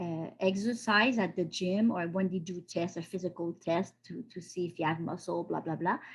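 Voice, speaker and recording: Somewhat breathy and medium in pitch, a woman speaks fairly slowly in a French-Canadian accent. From Quebec, Canada. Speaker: podcast guest sharing health story. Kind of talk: interview testimony. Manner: halting, searching for English words.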